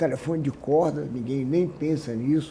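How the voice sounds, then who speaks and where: A man's somewhat breathy voice with a dark, mellow tone, fairly high pitch, ordinary pitch variation and a moderate pace. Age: 70s. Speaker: businessman. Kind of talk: interview.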